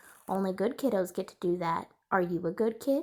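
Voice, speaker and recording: Putting on a character voice, a woman talks at a fairly quick pace and a medium pitch. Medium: read story. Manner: patient.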